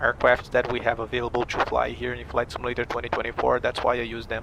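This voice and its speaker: A man with a Portuguese accent, medium in pitch, over noticeable background noise. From Brazil. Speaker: flight sim streamer and airline pilot. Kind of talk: live stream chat.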